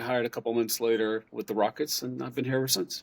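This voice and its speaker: In a dry, close sound with no echo, a man speaks with a medium pitch. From Costa Rica. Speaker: Spanish-language basketball play-by-play announcer. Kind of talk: interview.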